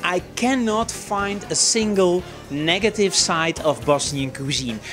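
With clear music in the background, a man talks at a high pitch. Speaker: guest. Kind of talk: interview answer. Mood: friendly, relaxed. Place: shop.

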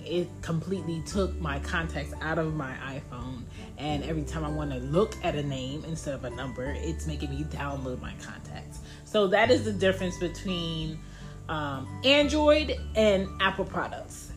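At a moderate pace, the voice rises and falls a lot in loudness while clear music plays in the background. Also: woman. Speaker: podcast host. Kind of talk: casual podcast monologue. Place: home room. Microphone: phone near.

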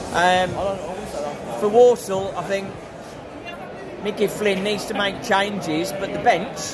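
A man speaks very slowly with ordinary pitch variation as noticeable background noise continues. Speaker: football fan vlogger. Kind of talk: casual vlog chat. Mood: disappointed, resigned. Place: stadium. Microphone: phone near.

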